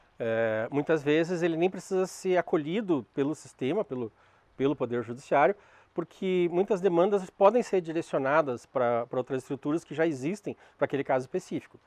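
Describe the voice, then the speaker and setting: Dry and close with no echo, a man's fairly high voice moves at a moderate pace with lively intonation. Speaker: lecturer on restorative justice. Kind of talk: lecture. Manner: halting.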